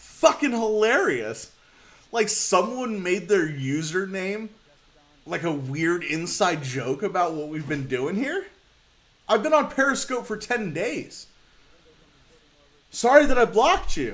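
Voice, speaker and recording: Speaking at a fairly slow pace with long, frequent pauses, a man uses a high-pitched voice that swings very widely in pitch. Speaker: livestreamer. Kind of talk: casual livestream chat. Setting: live stream.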